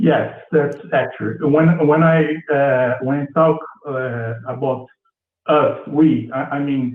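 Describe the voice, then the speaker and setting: A man's fairly high pitch in a Portuguese accent, at a very slow pace with fairly even intonation. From Brazil, Rio de Janeiro. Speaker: caller, psychology student. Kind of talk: call-in show discussion. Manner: halting.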